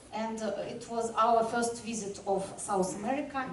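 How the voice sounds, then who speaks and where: With a non-native accent, a woman talks at a fairly slow pace and fairly high pitch, her intonation fairly even, amid noticeable background noise and audible room echo. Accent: non-native English, language barrier. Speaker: sailor. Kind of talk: presentation. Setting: club room with audience. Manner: halting.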